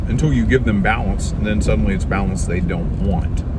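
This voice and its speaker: Noticeable background noise and audible room echo surround a man speaking with a Southern US accent. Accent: Southern US twang. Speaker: political video commentator. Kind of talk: casual monologue commentary. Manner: halting, many fillers.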